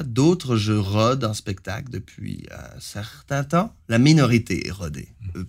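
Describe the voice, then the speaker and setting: A somewhat breathy man with a Canadian French accent and lively intonation at a very slow pace, in a very clean recording with a silent background. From Franco-Ontarian Canada. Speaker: singer-songwriter. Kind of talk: interview.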